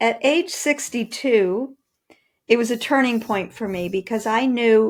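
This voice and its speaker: A woman speaks at a fairly slow pace in an unremarkable speaking voice on a very clean recording with a silent background. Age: 60s. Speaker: author and personal trainer. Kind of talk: interview.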